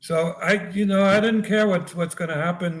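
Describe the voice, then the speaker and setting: In a slight German accent, a man talks at a fairly quick pace. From East Germany. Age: 70s. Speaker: former spy and author. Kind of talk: interview conversation. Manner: halting, many repetitions.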